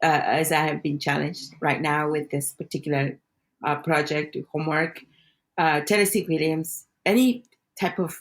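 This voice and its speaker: In a Spanish accent, a woman speaks with a very deep, low pitch and ordinary pitch variation. Her pace is fairly slow, and the recording is very clean with a silent background. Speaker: podcast co-host, actor. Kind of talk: casual chat.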